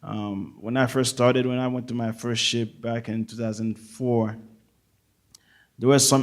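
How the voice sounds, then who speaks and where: Speaking with a Haitian accent, a man keeps to a medium pitch and fairly even intonation. His pace is fairly slow. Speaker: navy chief petty officer. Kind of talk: audience comment at a public forum. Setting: auditorium with audience. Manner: halting.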